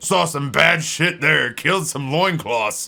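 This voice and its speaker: A put-on character voice from a man, fairly high-pitched, fairly slow, with ordinary pitch variation. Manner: gruff and comically macho.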